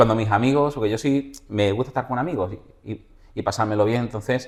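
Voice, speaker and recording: A man's medium-pitched voice with an Andalusian accent, fairly quick, on a very clean recording with a silent background. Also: ordinary pitch variation. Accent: Malaga Spanish. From Málaga, Spain (Indian family). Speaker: business association president. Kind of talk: interview.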